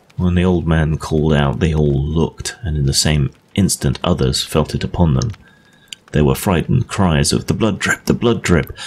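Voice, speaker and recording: Through noticeable background noise, a man with an English accent speaks at a moderate pace with a very deep, low pitch, ordinary pitch variation and very even loudness. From England. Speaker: audiobook narrator. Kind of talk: ghost story reading.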